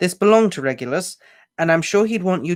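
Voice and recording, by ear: Reading aloud in a natural voice, with ordinary pitch variation against a quiet background.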